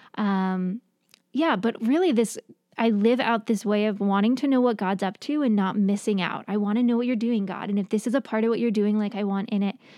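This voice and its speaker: In an American accent, a woman with a fairly high, dark, mellow voice speaks at a fairly quick pace with fairly even intonation, in a very clean recording with a silent background. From New York, US. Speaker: therapist and professor. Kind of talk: casual interview chat. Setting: studio, in person.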